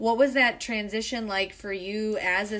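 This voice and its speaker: Bright and sharp in tone, a woman with a Chicago accent speaks at a medium pitch with fairly even intonation. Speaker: podcast host and theater co-founder. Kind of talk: casual interview.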